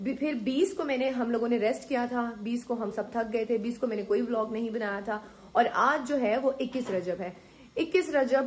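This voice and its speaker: A woman has a plain, everyday voice, fairly high in pitch with ordinary variation, at a moderate pace. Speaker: vlogger. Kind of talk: casual vlog talk. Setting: at home.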